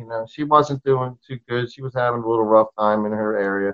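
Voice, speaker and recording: A man with an American accent rushes through his words at a very fast pace. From Maryland (Towson, outside Baltimore). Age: 50s. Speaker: rock musician. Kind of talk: casual interview chat. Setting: video call.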